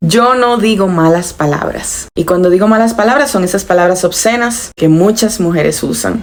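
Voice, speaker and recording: With noticeable background noise behind her, a woman speaks at a medium pitch and moderate pace, with very even loudness, ordinary pitch variation, and hardly any pauses. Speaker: lifestyle vlogger. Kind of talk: personal advice monologue. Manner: moderated, calm tone.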